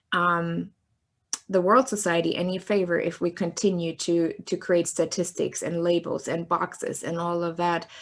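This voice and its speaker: With a German accent, the speaker keeps a moderate pace and fairly even intonation on a very clean recording with a silent background. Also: woman, fairly low pitch for a woman. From Germany (East Germany). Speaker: sociologist and filmmaker. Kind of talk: interview. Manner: hesitant, many fillers.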